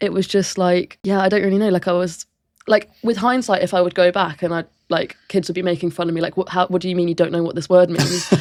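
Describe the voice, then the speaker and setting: A woman speaks very fast with a southern English accent. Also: medium pitch for a woman, fairly even intonation. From England, from age five or six (Windsor); early childhood in a German-speaking country. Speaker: powerlifter. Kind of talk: casual interview chat. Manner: casual, lots of 'like' fillers.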